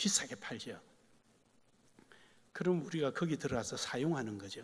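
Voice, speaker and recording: Speaking with a Gyeongsang accent, a man moves at a fairly quick pace with lively intonation. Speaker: pastor. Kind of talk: sermon.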